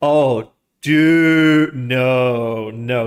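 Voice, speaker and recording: Here a man talks at medium pitch with ordinary pitch variation. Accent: American. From US South, Georgia. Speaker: streamer and algorithmic trader. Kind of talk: casual live stream chat. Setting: live stream. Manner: halting, self-correcting.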